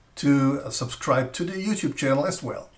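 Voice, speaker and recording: Non-native accent from a male speaker. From Austria. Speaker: flashlight reviewer. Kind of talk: live stream product presentation. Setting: live stream. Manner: halting.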